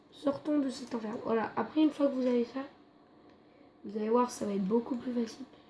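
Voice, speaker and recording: A quiet, high-pitched woman's voice amid noticeable background noise. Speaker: YouTuber. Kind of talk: tutorial. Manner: halting.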